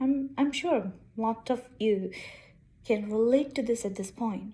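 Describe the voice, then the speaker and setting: A woman with an Indian accent speaks at a fairly slow pace, her voice somewhat breathy. Her tone is dark and mellow, with a fairly high pitch and ordinary pitch variation. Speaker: engineer and vlogger. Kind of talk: casual vlog monologue.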